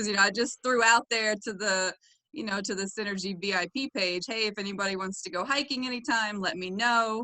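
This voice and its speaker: The speaker has a slight Southern US accent and ordinary pitch variation. The pace is moderate. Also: woman. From US South (Florida, Tennessee). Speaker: doctoral student and gym member. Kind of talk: podcast interview. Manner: hesitant, many fillers.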